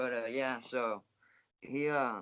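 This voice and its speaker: The man's intonation is fairly even. His pitch sits in the medium range. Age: 20s. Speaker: former inmate. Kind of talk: interview.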